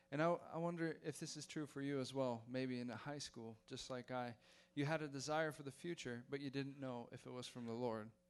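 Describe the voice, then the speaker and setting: Music plays behind a man talking at a fairly quick pace, his fairly high pitch carried in fairly even intonation. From Belgium. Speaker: missionary pilot. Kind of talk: mission presentation and testimony to a church. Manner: warm, slightly halting with fillers.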